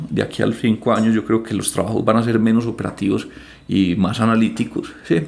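This man has a plain, everyday voice, medium pitch and a moderate pace. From Colombia, Antioquia (Medellín). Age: 30s. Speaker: financial advisor. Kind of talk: interview.

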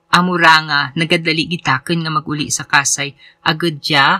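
At a moderate pace, a man with a bright, sharp tone and fairly even intonation is captured on a very clean recording with a silent background and a dry, close sound with no echo. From Philippines, Antique. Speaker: podcast host and writer. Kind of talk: essay read aloud.

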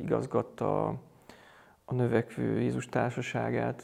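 A man is speaking. His pace is very slow. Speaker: Jesuit priest, college rector. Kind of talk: interview conversation. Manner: halting, many repetitions.

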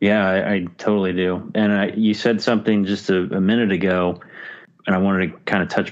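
Against a quiet background, a man with an ordinary speaking voice talks fairly quickly at a fairly low pitch with fairly even intonation. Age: 50s. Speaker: podcaster. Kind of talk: casual chat.

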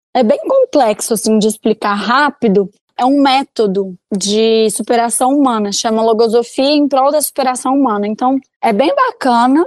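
This woman has a high pitch and ordinary pitch variation, speaking at a moderate pace with very even loudness in a dry, close sound with no echo. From Belo Horizonte, Minas Gerais, Brazil. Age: 20s. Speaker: fashion influencer. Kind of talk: interview.

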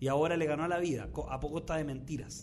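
A man with a Chilean accent talks at a fairly quick pace in a fairly high pitch with ordinary pitch variation, with audible room echo. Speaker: comedian and podcast host. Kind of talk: casual comedic chat. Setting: studio.

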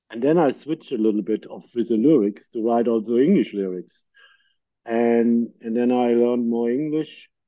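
Moderate pace, ordinary pitch variation, with a German accent. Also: man, medium pitch for a man. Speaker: podcast host and producer. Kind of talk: casual interview chat. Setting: video call.

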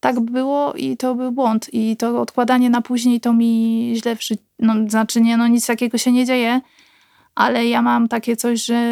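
The voice is monotone, with flat intonation, and the sound is dry and close with no echo. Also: woman, fairly high pitch for a woman, moderate pace. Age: 30s. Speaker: nurse. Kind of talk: casual chat.

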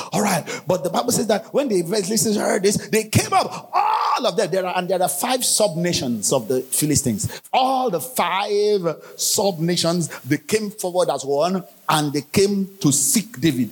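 A man speaks with a high pitch and an animated tone at a moderate pace. His intonation is lively over noticeable background noise. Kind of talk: sermon. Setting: church. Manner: animated, exhorting the congregation; urgent, forceful preaching.

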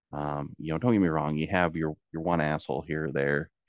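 A man with a Midwestern US accent speaks in a very deep, low pitch with ordinary pitch variation, the sound dry and close with no echo and the background quiet. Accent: US Midwest. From central Illinois. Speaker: towboat captain. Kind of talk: interview.

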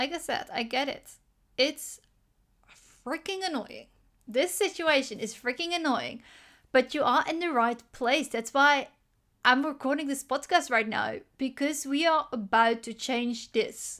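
A woman's high, bright, sharp voice at a fairly slow pace, with ordinary pitch variation, long, frequent pauses and a very clean recording with a silent background. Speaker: business coach podcast host. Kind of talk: solo podcast monologue, motivational coaching talk; guided visualization: listener asked to close eyes and imagine posting effortlessly. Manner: casual, slightly halting, stumbles over words; slow, calm, soothing guided-imagery delivery with gentle second-person prompts.

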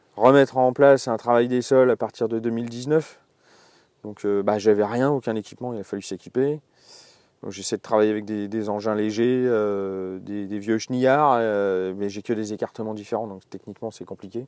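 Over a quiet background, a man with a fairly low voice talks at a moderate speed, his intonation fairly even. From Alsace, France. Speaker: winemaker and musician. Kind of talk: casual interview. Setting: outdoors in a garden, birds audible. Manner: hesitant, many fillers.

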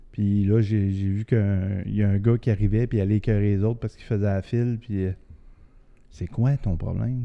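Fairly low in pitch with a dark, mellow tone, a man talks at a moderate pace with fairly even intonation. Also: long, frequent pauses. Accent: Quebec. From Quebec City region. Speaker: podcast co-host. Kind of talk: casual chat.

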